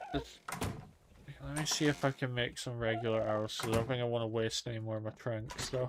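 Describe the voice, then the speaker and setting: A man speaks at a fairly quick pace with long, frequent pauses over noticeable background noise. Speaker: gaming streamer. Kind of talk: let's play commentary. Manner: slurred, sounds drunk. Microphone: mic software issues.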